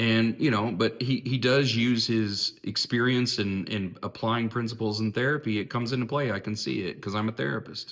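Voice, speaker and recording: With an American accent, a man speaks at a medium pitch and with fairly even intonation. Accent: southern drawl when passionate. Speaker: therapist and philosophy video host. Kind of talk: reflective monologue. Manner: casual, with repetitions and false starts.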